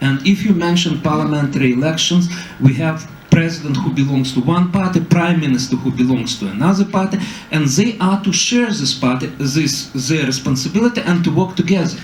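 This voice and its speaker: Against noticeable background noise, a man with a Russian accent speaks at a fairly high pitch with lively intonation. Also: fairly quick pace. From Ukraine. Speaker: political scientist. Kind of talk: panel talk. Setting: public debate with audience.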